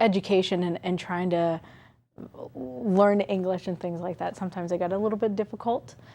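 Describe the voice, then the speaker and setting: Long, frequent pauses break up a dark, mellow voice with an American accent in a very clean recording with a silent background. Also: woman. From US Midwest (Muscatine, Iowa). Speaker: college staff member, former student. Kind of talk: TV interview. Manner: hesitant, many fillers.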